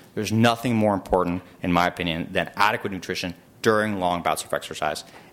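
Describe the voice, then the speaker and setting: Here a man speaks at a fairly quick pace. His pitch is fairly low. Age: 30s. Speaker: emergency physician giving a talk. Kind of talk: lecture. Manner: halting, many fillers.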